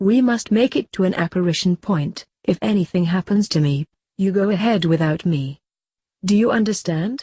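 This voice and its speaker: A female-sounding, put-on character voice is pitched in the middle range. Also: moderate pace. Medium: read story.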